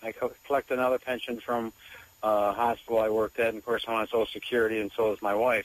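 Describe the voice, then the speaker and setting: Against noticeable background noise, a man with an American accent talks at a very fast pace in a medium pitch, his intonation monotone and flat, the sound dry and close with no echo. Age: 60s. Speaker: caller, retired police officer. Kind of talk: radio call-in question.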